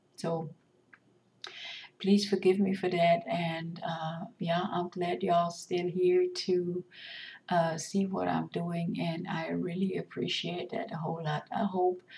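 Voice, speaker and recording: A woman at a very slow pace, fairly low in pitch, over noticeable background noise. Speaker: resin artist. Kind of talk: tutorial. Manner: halting, many fillers.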